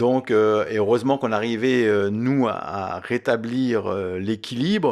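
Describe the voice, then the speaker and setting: A man's medium-pitched voice, with typical rise and fall, comes through on a very clean recording against a silent background. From Lorraine, France (Mont-Saint-Martin, Longwy area). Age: 60s. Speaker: former footballer. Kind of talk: interview. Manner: halting, many hesitations.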